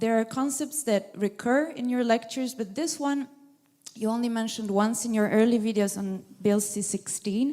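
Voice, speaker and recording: A woman with a non-native accent talks at a fairly slow pace. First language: not English. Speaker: audience member asking a question. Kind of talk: audience question at a lecture. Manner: halting.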